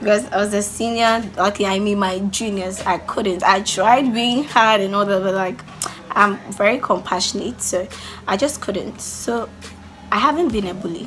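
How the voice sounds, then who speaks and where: Amid noticeable background noise and audible room echo, a woman speaks at medium pitch with ordinary pitch variation and a moderate pace. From Ghana. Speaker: YouTuber. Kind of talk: casual vlog Q&A. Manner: loud; animated.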